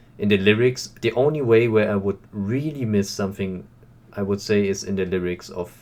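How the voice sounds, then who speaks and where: A man with a German accent speaks at a moderate pace in a fairly low pitch with ordinary pitch variation. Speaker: reaction youtuber. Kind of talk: casual video commentary. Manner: halting, with many fillers.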